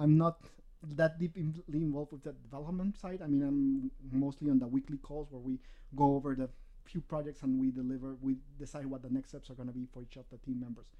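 A man speaks at a very fast pace in a fairly high pitch with a dark, mellow tone. His loudness swings widely while his intonation stays fairly even. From Peru. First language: Spanish. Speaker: games sales and marketing. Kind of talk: casual interview.

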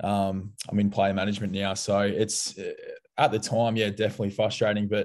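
A man speaks fairly quickly in a dark, mellow tone, fairly low in pitch. His intonation is monotone and flat, and the background is quiet. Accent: Australian. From Melbourne, Australia. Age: 20s. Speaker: former football player, player manager. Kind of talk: interview.

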